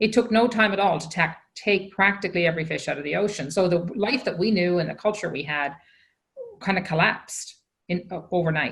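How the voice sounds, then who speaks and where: A woman with a Newfoundland accent speaks at a fairly quick pace. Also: medium pitch for a woman, ordinary pitch variation. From Newfoundland, Canada (Fogo Island). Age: 60s. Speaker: social entrepreneur. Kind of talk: conference keynote conversation.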